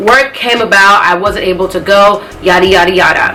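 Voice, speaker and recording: Fairly even intonation in an American accent, with noticeable background noise and audible room echo. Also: woman. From Nigeria, then US from 2000. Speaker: vlogger. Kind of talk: casual vlog monologue. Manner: fast; stumbling, self-correcting.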